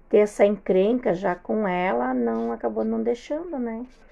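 Speaking at a very slow pace, a woman uses a medium pitch with very wide pitch swings. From southern Brazil, Rio Grande do Sul. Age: 40s. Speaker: host's mother-in-law, homemaker. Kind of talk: casual interview.

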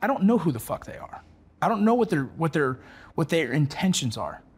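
His pitch swings very widely and sits high. The man speaks with an American accent. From Los Angeles, US. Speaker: military veteran and former border patrol agent. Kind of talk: interview conversation. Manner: casual, repetitive.

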